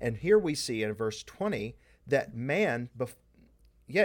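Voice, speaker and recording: A man's playful tone, fairly slow, with very wide pitch swings. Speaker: podcast co-host, Bible discussion. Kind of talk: casual conversational Bible discussion. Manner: joking, playful.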